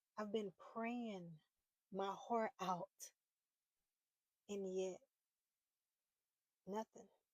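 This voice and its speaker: A woman talks very slowly at a medium pitch, with monotone, flat intonation and long, frequent pauses. The sound is dry and close, with no echo. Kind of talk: personal faith talk to camera. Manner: halting, repeating words.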